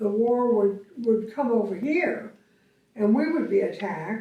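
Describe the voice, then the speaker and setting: A woman speaks at a fairly high pitch with a Texan accent. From Austin, Texas. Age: old. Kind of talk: interview answer. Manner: hesitant, reminiscing.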